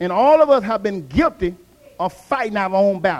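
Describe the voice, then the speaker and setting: A man's animated delivery at a moderate pace. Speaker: pastor. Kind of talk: sermon. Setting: church with congregation. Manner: animated, call-and-response preaching; emphatic, exhorting the congregation.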